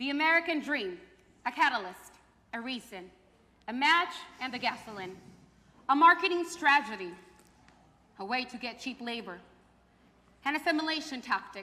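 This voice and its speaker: Raising and projecting her high voice, a woman speaks at a moderate pace with very wide pitch swings and long, frequent pauses. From Mexico and Fresno, California. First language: Spanish. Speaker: theater performer. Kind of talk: staged performance.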